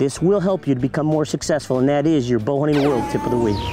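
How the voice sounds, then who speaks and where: Faint music plays in the background as a man speaks, the sound dry with no echo. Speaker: hunting show host. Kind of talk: tutorial. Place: forest.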